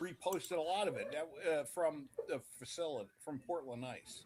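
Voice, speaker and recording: A man with a New York accent talks at a moderate pace, his pitch swinging very widely. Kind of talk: casual chat.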